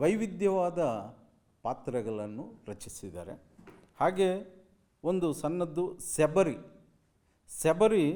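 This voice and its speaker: A man with a Telugu accent speaks in a dark, mellow tone. His pitch is high and swings very widely. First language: Telugu (speaking Kannada). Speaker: university speaker. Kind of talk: commemorative speech. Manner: halting.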